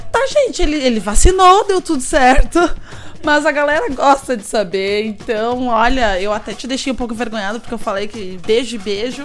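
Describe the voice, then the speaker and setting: A woman's high-pitched voice with lively intonation at a moderate pace, against noticeable background noise. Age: 30s. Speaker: radio host. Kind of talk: live radio show.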